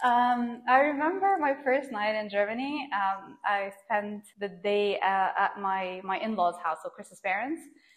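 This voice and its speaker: Noticeable background noise accompanies a woman speaking at a fairly slow pace with a fairly high pitch. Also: ordinary pitch variation. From Qatar (Doha). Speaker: finance regulation expert. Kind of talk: interview.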